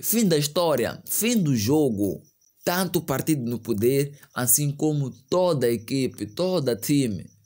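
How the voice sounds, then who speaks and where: A man speaks at a fairly slow pace with very wide pitch swings against a quiet background. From Mozambique. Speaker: news commentary youtuber. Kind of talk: online news commentary. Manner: animated. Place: home room. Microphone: studio mic.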